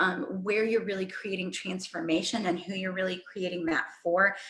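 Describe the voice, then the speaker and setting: Her pitch is medium. This voice belongs to a woman. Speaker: fitness business coach. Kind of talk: live group talk. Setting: livestream in online group.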